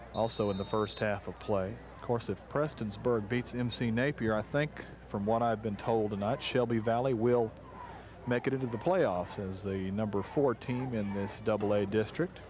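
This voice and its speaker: This man speaks with an Appalachian accent at a moderate pace. His pitch is medium, with ordinary variation. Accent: Appalachian Kentucky. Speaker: radio sports play-by-play announcer. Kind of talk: live commentary. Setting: outdoors at a night football game.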